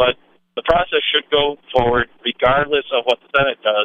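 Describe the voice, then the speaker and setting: Using an ordinary speaking voice, a man speaks at a moderate pace with fairly even intonation. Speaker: caller. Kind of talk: political opinion call-in. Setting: phone call.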